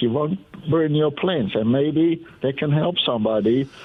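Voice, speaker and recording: Speaking at a fairly slow pace with lively intonation, a man with a Dutch accent uses a fairly high pitch. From Netherlands. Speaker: caller. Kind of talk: call-in radio chat. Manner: halting.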